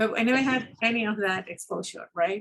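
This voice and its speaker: With a Spanish accent, a woman speaks at a moderate pace using fairly even intonation. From Peru. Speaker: scientist. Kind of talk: interview. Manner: hesitant, many fillers.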